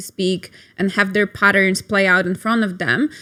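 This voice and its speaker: On a very clean recording with a silent background, a woman of medium pitch speaks with a Polish accent at a moderate pace and fairly even intonation. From Poland. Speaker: sex and couples therapist. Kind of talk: interview. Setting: studio.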